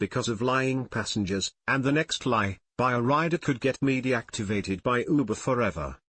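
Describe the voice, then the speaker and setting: At a moderate pace, a man with a normal speaking voice talks at medium pitch with ordinary pitch variation. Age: 60s. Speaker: rideshare driver. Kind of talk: personal commentary monologue.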